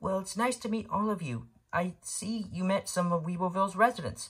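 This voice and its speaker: A female-sounding voice puts on a character voice at a medium pitch for a woman. The pace is fairly quick. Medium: read story.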